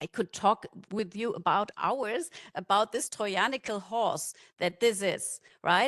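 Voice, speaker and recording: In a German accent, a woman speaks fairly slowly at a fairly high pitch with ordinary pitch variation. The sound is dry and close, with no echo. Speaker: conference speaker from a non-profit. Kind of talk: conference talk. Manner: halting.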